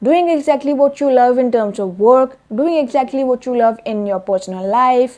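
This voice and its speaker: With a non-native accent, a woman speaks in a dark, mellow tone at a high pitch. She barely pauses. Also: ordinary pitch variation, moderate pace. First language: not English. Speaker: self-help vlogger. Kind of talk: vlog monologue. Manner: hesitant with fillers.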